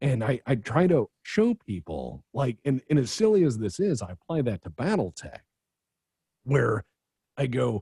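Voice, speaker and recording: A man speaks at a medium pitch with a dark, mellow tone and a somewhat breathy quality. His pitch swings very widely, and the sound is dry and close with no echo. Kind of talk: casual chat. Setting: video call. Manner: animated.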